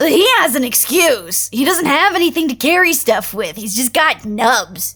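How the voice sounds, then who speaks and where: A female-sounding speaker uses a put-on character voice, high in pitch and moderate in pace. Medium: audio drama. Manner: blunt, casual.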